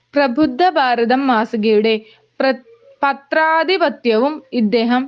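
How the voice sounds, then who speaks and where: This is a woman with a high pitch. Her pitch varies in an ordinary way. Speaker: educational video narrator. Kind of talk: scripted narration.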